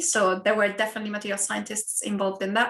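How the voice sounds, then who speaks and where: A woman with an Italian accent speaks at a fairly high pitch. The background is quiet. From Italy. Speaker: university lecturer. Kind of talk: online talk and Q&A.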